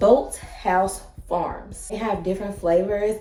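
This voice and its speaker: Audible room echo and noticeable background noise surround the recording. A woman with a strong Southern US accent talks at a medium pitch with fairly even intonation. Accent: strong Southern country twang. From Kentucky, US. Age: 30s. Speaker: lifestyle vlogger. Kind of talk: casual vlog talk to camera. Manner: loud.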